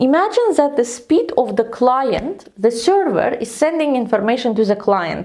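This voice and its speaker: A woman with a non-native accent speaks at a fairly slow pace with a high pitch. Her pitch swings very wide over noticeable background noise. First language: not English. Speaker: tech educator. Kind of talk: tutorial.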